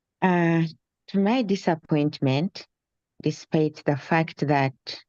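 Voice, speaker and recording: The voice has a dark, mellow tone and ordinary pitch variation, heard against a quiet background with a dry, close sound and no echo. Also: woman. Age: 70s. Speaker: tenant testifying at a public hearing. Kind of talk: public testimony.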